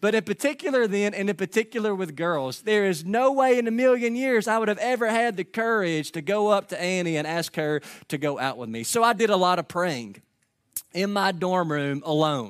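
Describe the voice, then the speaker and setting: In a very clean recording with a silent background, a man with a Kentucky accent speaks at a fairly quick pace, his high voice carrying lively intonation. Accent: Kentucky Southern US. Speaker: pastor. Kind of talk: sermon. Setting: church.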